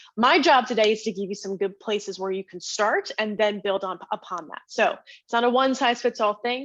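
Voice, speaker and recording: Energetic in tone, a woman talks at a fairly quick pace with a fairly high pitch. Her pitch variation is ordinary, and the background is quiet. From northern New Jersey. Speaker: networking workshop presenter. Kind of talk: webinar presentation. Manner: fast.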